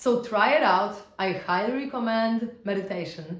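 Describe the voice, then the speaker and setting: A woman's fairly slow delivery with ordinary pitch variation and audible room echo. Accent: Polish. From Poland. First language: Polish. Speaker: spiritual teacher. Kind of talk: casual teaching talk. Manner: conversational, with fillers.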